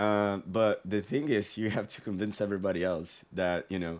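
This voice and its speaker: This speaker has a non-native accent and talks at a moderate pace with fairly even intonation. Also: man, very clean recording, silent background. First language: not English. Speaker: sales consultant. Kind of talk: tutorial. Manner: casual, conversational with fillers.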